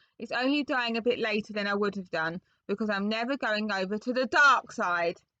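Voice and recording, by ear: Ordinary pitch variation while reading aloud in a natural voice.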